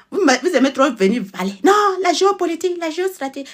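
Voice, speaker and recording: A woman's high pitch with very wide pitch swings. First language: a Togolese native language (speaking French). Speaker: political commentator, channel owner. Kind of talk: online political monologue. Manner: animated.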